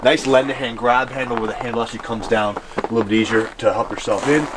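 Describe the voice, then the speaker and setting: Loud background noise fills the clip as a man talks. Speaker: RV salesman. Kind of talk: product walkaround presentation. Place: street.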